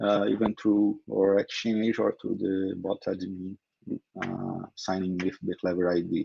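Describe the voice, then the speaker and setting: Speaking in a Brazilian Portuguese accent, a man with a fairly low pitch talks at a fairly slow pace in a monotone, flat intonation. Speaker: crypto company co-founder. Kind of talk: interview. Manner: halting.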